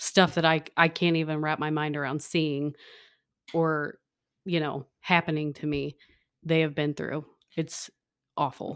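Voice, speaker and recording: A woman speaks at a fairly slow pace with a very deep, low pitch, flat monotone intonation, and long, frequent pauses, on a very clean recording with a silent background. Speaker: elementary school teacher. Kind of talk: casual chat.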